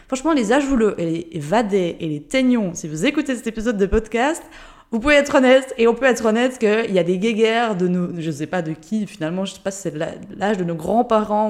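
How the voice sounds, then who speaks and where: A woman with a medium pitch uses a normal speaking voice. Her intonation is lively and her pace fairly quick. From Switzerland, Jura (Ajoie). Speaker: life and business coach, podcast host. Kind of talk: unscripted solo podcast monologue. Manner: casual, spontaneous.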